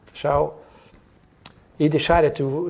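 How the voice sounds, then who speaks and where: The tone is dark and mellow, with ordinary pitch variation. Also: man. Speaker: interviewee. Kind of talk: interview answer. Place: hall. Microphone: lapel.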